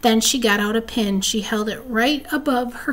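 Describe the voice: Ordinary pitch variation in plain reading aloud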